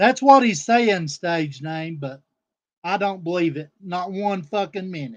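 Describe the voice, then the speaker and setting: With big swings in loudness, a man speaks at a fairly slow pace in a high pitch with lively intonation. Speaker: streamer. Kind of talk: livestream rant. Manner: animated.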